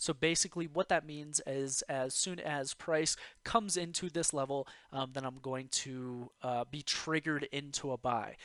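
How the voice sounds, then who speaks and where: Recorded with a dry, close sound and no echo, a man has an unremarkable speaking voice at a fairly high pitch with ordinary pitch variation. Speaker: forex trading youtuber. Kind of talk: tutorial. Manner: casual, filler-heavy.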